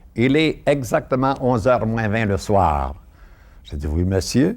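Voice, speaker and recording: Speaking very slowly, a man uses a fairly low pitch. His pitch swings very widely. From Quebec, Montreal (Saint-Henri). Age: 70s. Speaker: former politician. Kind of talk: interview testimony. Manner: halting.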